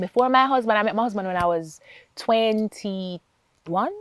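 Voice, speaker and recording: Lively in intonation, a woman with a Jamaican accent speaks at a fairly high pitch in a dry, close recording with no echo. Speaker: accountant and foundation founder. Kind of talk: interview testimony.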